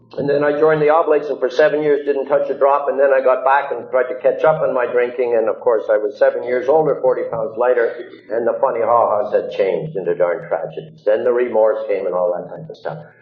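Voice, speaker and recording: Speech comes at a very fast pace with hardly any pauses. There is audible room echo and noticeable background noise. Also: man. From Montreal, Quebec. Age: 60s. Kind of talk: recovery talk to audience. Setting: church hall with audience.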